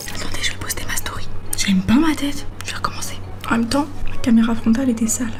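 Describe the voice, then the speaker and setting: Speaking at a very fast pace, a woman is heard over noticeable background noise with audible room echo. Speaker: YouTuber, family member hiding. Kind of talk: casual vlog commentary.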